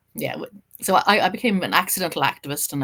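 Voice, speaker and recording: A woman with an Irish accent talks at a very fast pace in a bright, sharp tone. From Ireland. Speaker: journalist and writer. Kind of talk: casual interview. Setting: podcast interview.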